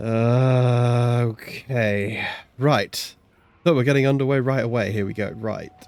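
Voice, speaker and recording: A man speaks at a very slow pace, his medium-pitched voice holding a fairly even intonation. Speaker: gaming streamer. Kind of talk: gameplay commentary. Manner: relaxed.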